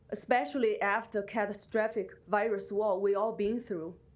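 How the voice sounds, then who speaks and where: A woman speaks at a fairly slow pace. Her voice sounds shaky. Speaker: resident giving public comment. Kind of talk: public testimony. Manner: halting; shaky voice.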